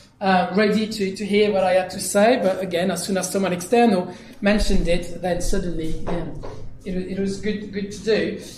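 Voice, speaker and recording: A man with a high pitch and a French accent talks at a moderate pace in a monotone, flat delivery. There is audible room echo and noticeable background noise. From France, Dijon. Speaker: digital consultant. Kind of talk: conference keynote. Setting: stage with audience.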